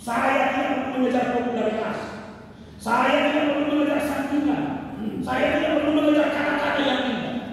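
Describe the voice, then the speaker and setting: Strong room echo surrounds a man speaking at a moderate pace. His pitch is extremely high. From North Sumatra, Indonesia. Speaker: pastor. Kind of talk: wedding sermon. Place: church.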